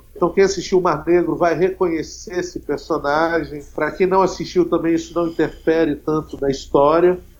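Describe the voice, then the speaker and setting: A man speaks with a high pitch at a moderate pace. He leaves hardly any pauses. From Brazil, Espírito Santo. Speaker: filmmaker. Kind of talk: interview. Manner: animated.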